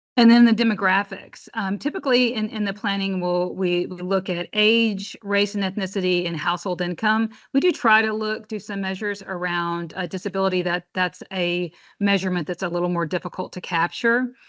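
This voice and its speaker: With hardly any pauses, a woman talks at a fairly quick pace in a medium pitch. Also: fairly even intonation. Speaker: housing agency presenter. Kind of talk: presentation. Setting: public meeting. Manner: fast.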